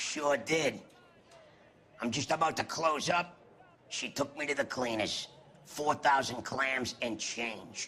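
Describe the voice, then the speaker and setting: Putting on a raspy character voice, a man speaks at a fairly high pitch and a fairly slow pace with long, frequent pauses. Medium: video game. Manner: wisecracking, slangy.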